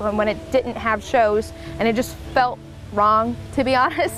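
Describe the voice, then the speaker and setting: A speaker with an American accent talks in a fairly even intonation while music plays in the background. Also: woman. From Southwest Oklahoma, Lawton. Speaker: country musician. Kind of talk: interview.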